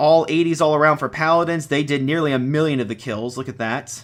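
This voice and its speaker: Fairly high in pitch for a man, he talks at a fairly quick pace. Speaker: game event commentator. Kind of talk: live commentary. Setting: live stream. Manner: fast.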